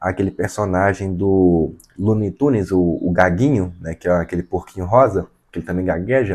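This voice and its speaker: A dark, mellow voice at a moderate pace with ordinary pitch variation. The background is quiet. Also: man. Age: 20s. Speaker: vlogger. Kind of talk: personal testimony to camera. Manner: halting.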